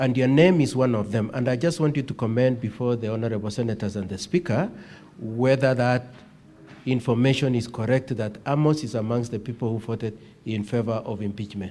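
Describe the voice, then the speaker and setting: The voice has a dark, mellow tone and ordinary pitch variation. Its pace is fairly quick. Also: man, medium pitch for a man. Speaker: lawyer cross-examining a witness. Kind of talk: cross-examination.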